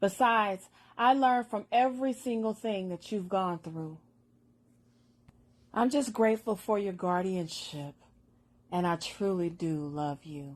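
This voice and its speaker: Against a quiet background, a woman speaks at a fairly slow pace with long, frequent pauses. Her intonation is lively. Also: medium pitch for a woman. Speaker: poet. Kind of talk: spoken word poetry.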